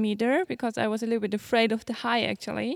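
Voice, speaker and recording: The intonation stays monotone and flat, delivered in a German accent. The recording is very clean with a silent background, and the sound is dry and close with no echo. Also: woman. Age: 20s. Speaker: show jumping rider. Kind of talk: interview. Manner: halting.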